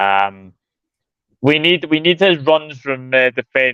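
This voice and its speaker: A man with a Scottish accent speaks fairly slowly in a fairly high voice. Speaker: football channel host. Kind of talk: casual chat.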